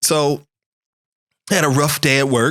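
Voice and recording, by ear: A man's fairly high voice, fairly bright in tone, moves at a fairly slow pace with fairly even intonation.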